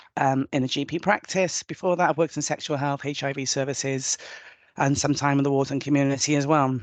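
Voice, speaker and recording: A woman with a Welsh accent talks very fast in a very deep, low voice, her intonation fairly even, the sound dry and close with no echo against a quiet background. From Wales. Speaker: nurse. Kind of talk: webinar presentation.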